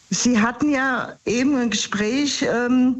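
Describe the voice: A woman at a slow pace, her pitch fairly high and ordinarily varied, with audible room echo around her.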